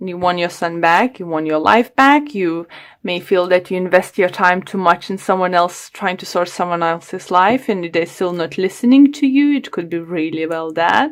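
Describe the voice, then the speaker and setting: A woman with a non-native accent speaks at a moderate pace on a very clean recording with a silent background. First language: not English. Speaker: tarot reader. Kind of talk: tarot reading to camera. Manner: halting.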